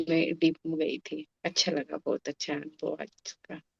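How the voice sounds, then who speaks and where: A woman speaks with monotone, flat intonation in a dry, close recording with no echo. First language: Marathi (speaking Hindi). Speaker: meditation class participant. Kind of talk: sharing personal meditation experience.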